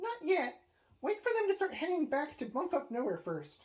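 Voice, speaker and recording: This put-on character voice is squeaky and high, with very wide pitch swings. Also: moderate pace. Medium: read story. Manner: dry, polite.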